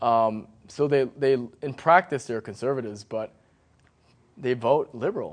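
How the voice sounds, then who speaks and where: A man with an American accent speaks at a moderate pace in a medium pitch, with ordinary pitch variation and long, frequent pauses. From US, Northern Virginia (McLean). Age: 30s. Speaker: painter. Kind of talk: casual chat.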